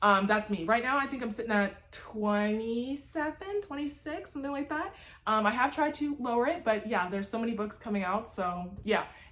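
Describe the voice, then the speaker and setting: A woman's fairly high voice with lively intonation and hardly any pauses, over noticeable background noise. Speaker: booktuber. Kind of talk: casual vlog chat. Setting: home library on camera. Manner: fast; animated.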